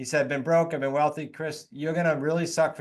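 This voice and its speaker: A voice with a New England accent comes through over a quiet background. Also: man. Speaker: real estate investor and coach. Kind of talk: podcast interview. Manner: animated.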